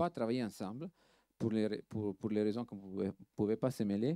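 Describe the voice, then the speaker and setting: With an Italian accent, a man speaks at a moderate pace in a dark, mellow tone with fairly low pitch, recorded very cleanly with a silent background and a dry, close sound with no echo. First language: Italian (speaking French). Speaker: film restoration lab director. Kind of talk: panel talk. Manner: halting, many hesitations and repeats.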